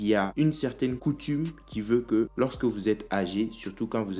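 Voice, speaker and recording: A man talks at a moderate pace with fairly low pitch and ordinary pitch variation. He has a plain, everyday voice. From Africa. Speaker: video commentator. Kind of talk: opinion commentary.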